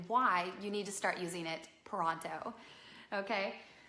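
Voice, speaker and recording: A woman's medium-pitched voice, varying in pitch in an ordinary way, comes through audible room echo and noticeable background noise. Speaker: business strategist and live show host. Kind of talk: live broadcast business talk. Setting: live stream at home on couch. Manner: animated.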